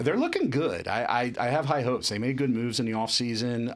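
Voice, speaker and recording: A man in a South Jersey accent, fairly quick in pace with ordinary pitch variation, on a very clean recording with a silent background. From South Jersey, US. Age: 40s. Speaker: entrepreneur, company CEO. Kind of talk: casual chat.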